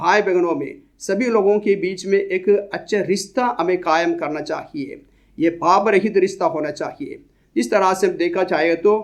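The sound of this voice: With fairly even intonation, a man talks in a high pitch.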